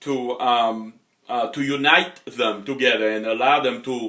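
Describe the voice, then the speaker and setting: A man is speaking. He has a Haitian accent. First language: Haitian Creole or French. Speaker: motivational coach. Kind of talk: motivational talk. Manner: hesitant, many fillers.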